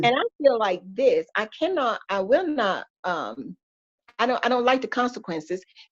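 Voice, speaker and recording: Woman with a Southern US accent, fairly high-pitched, with very wide pitch swings. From Georgia, USA. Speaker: pastor's wife, church first lady. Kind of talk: podcast interview answer, faith testimony.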